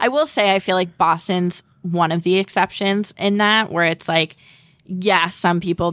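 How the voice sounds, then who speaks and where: In a very clean recording with a silent background and a dry, close sound with no echo, a woman with an American accent uses an ordinary speaking voice at a fairly low pitch with fairly even intonation. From Massachusetts. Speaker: esports influencer manager. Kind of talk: casual chat.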